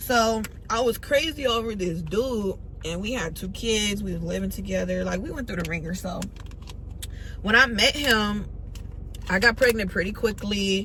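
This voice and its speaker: With long, frequent pauses and big swings in loudness, a woman speaks in an animated tone at a moderate pace, her voice carrying audible room echo and noticeable background noise. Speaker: vlogger. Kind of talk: storytime vlog. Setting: in a car.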